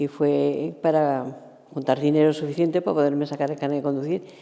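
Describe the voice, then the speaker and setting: A woman with a very deep, low pitch and a dark, mellow tone speaks at a moderate pace. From Spain, Valencia. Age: 60s. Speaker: former shoe factory worker. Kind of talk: interview. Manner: halting.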